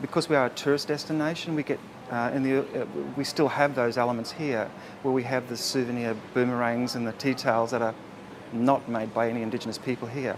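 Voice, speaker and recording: The pace is very fast as a man speaks at a medium pitch. His intonation stays fairly even. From Far North Queensland, Australia. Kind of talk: interview answer.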